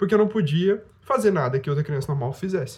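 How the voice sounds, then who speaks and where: Here a man uses a normal speaking voice at a fairly high pitch, with lively intonation. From Brazil, Rondônia. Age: 20s. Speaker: youtuber. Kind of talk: casual vlog monologue.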